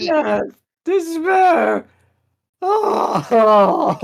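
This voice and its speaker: A put-on character voice, extremely high and whiny, carries the clip. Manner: pathetic, dramatic, whining.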